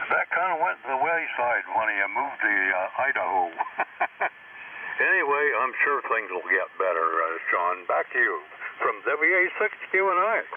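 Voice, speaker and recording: Over noticeable background noise, a man speaks at a moderate pace with very even loudness. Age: 80s+. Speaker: ham radio operator. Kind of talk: casual chat. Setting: amateur radio contact. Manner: halting, many fillers.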